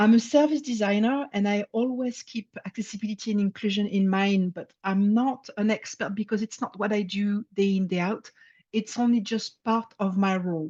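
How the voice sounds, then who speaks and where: A woman with a French accent, somewhat breathy, her dark, mellow tone dry and close with no echo, at a moderate pace with hardly any pauses and fairly even intonation. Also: medium pitch for a woman. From France. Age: 50s. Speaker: service designer. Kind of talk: presentation talk. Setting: talk with slides to an audience. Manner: some hesitations (uh).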